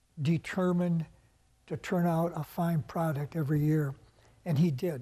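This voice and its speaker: With a dark, mellow tone and a fairly high pitch, a man speaks at a moderate pace with fairly even intonation and long, frequent pauses against a quiet background. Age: 80s+. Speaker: retired coach and substitute teacher. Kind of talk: TV interview. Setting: studio.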